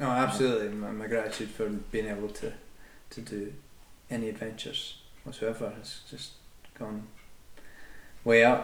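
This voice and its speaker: With a Scottish accent, a man speaks at a fairly low pitch and a moderate pace, leaving long, frequent pauses. His intonation stays fairly even while his loudness swings widely, and audible room echo surrounds him. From Scotland. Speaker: adventurer with chronic back pain. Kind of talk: interview, personal story.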